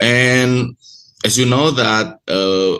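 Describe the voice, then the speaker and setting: A man speaks with an Indonesian accent and ordinary pitch variation. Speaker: university lecturer presenting research. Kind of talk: conference presentation. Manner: halting, with many fillers.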